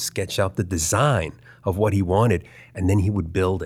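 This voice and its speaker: With an American accent, a man speaks at a very deep, low pitch in a somewhat breathy voice with ordinary pitch variation. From US, Baltimore, Maryland. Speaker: animation artist. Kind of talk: interview, casual chat.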